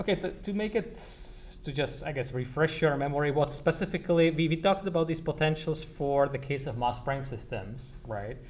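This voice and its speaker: Somewhat breathy and fairly high in pitch, a man speaks at a fairly quick pace with ordinary pitch variation as room echo is audible. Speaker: university lecturer. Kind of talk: lecture. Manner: halting, many repetitions; fast.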